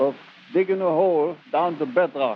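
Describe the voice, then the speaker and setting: Noticeable background noise sits behind a man talking at a fairly slow pace with a German accent. His pitch varies in an ordinary way. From Germany. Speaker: former gold miner. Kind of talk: recorded reminiscence storytelling. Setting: home cassette recording.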